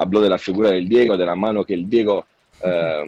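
With an Italian accent, a man speaks at a very deep, low pitch and with fairly even intonation. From Italy, Naples. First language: Italian (speaking Spanish). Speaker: journalist. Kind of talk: interview. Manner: halting.

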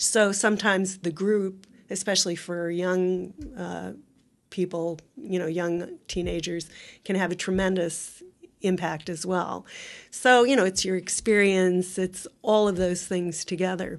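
A woman with an unremarkable speaking voice talks at a fairly slow pace, her medium pitch carrying fairly even intonation over a quiet background. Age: 60s. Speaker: university ethics center operations officer. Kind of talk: interview.

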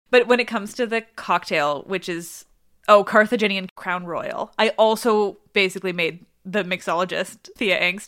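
An ordinary speaking voice, a woman at medium pitch talks at a moderate pace with a Canadian accent and ordinary pitch variation. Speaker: mythology podcaster and author. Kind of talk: casual chat. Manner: giggly, casual.

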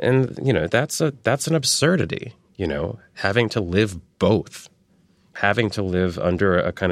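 Over a silent background on a very clean recording, a man with a plain, everyday voice speaks fairly slowly and fairly low, with lively intonation. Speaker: art historian. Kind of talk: academic explanation in interview. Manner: precise, formal, academic.

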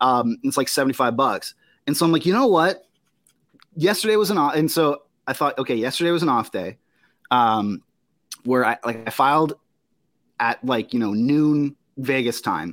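A man with a fairly high pitch talks at a moderate pace with lively intonation and long, frequent pauses, on a very clean recording with a silent background. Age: 20s. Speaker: hockey podcast host. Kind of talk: casual chat. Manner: halting.

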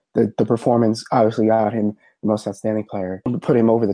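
A very fast-talking man with a fairly low pitch. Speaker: sports podcast co-host. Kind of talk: casual chat. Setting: remote call. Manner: animated.

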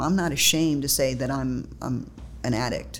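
Audible echo from the room surrounds a woman talking at a moderate speed. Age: 50s. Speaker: recovery group co-chair. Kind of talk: casual interview.

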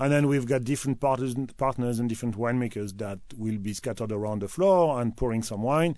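A man with a French accent speaks at a fairly quick pace in a dark, mellow tone, his medium pitch showing ordinary variation over a quiet background. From France, Loire Valley (Tours). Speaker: wine importer. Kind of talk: radio interview.

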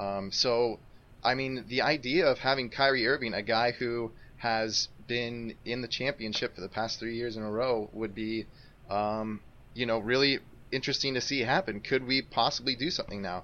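At a moderate pace, a man with an American accent speaks in a plain, everyday voice at medium pitch, his intonation fairly even. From Colorado, US. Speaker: basketball writer, new co-host. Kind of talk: casual chat.

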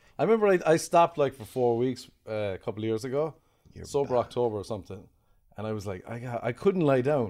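A man's very fast speech with an Irish accent, medium pitch, lively intonation, a dark, mellow tone and big swings in loudness. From Ireland. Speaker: comedian. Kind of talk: casual chat.

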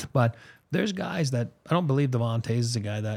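This is a very clean recording with a silent background. A man with a medium pitch and a somewhat breathy voice talks at a fairly quick pace. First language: French. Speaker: sports podcast host. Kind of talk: casual chat. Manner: filler-heavy, uses um and you know.

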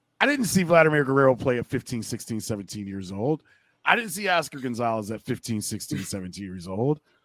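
A man with an American accent and a plain, everyday voice speaks at a medium pitch and moderate pace with lively intonation, the sound dry and close with no echo on a very clean recording with a silent background. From US Midwest (Akron, Ohio). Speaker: baseball broadcaster. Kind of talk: casual chat.

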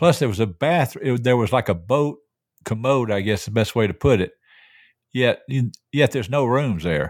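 In a very clean recording with a silent background, a man with a normal speaking voice at medium pitch talks at a moderate pace with lively intonation. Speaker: host's father, regular news segment. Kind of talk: casual chat.

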